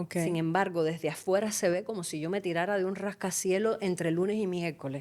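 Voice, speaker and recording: In a very clean recording with a silent background, a woman speaks at medium pitch and a moderate pace. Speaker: musicologist and life coach. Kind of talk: interview answer. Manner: passionate, energetic speech.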